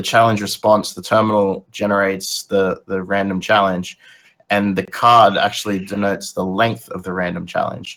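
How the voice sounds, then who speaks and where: In an ordinary speaking voice, a man talks with a fairly low pitch and fairly even intonation. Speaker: co-host, infosec hobbyist. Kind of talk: casual chat. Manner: casual, swears.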